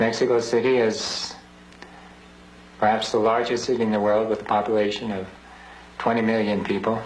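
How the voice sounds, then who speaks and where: Amid audible room echo and noticeable background noise, a man speaks at a medium pitch with monotone, flat intonation. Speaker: priest. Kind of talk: recorded appeal message. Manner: slow.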